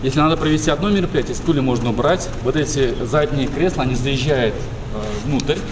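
Noticeable background noise sits behind a man talking. He goes at a fairly quick pace with ordinary pitch variation. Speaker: tour guide. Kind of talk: interview answer. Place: hall. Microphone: lapel.

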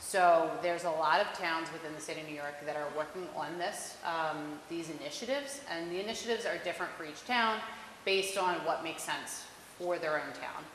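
A woman talks at a fairly quick pace. Audible room echo and light background noise are present. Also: fairly low pitch for a woman, ordinary pitch variation. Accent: American. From Philadelphia. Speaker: college intern on environmental committee; presenter. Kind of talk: presentation at public meeting. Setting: town hall meeting with public present. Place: hall.

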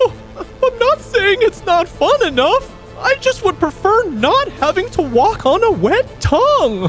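A cartoonish character voice talks at a fairly slow pace with hardly any pauses over clear music in the background. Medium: puppet show. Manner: fretful, prim.

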